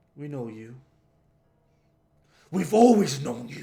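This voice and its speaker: Using a put-on character voice, a man speaks fairly slowly at a fairly high pitch with very wide pitch swings. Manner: haunting, menacing.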